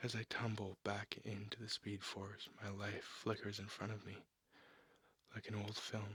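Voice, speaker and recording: A soft-spoken man whispers at a fairly slow pace. The sound is dry and close, with no echo. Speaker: ASMR artist and comic book reader. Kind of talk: narrated comic reading. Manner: whispered, soft-spoken.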